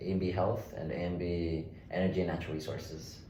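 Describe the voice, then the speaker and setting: With an American accent, a man speaks at a very deep, low pitch in a monotone, flat way, with audible room echo around him. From Oklahoma City, Oklahoma. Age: 20s. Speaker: state legislator. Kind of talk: interview.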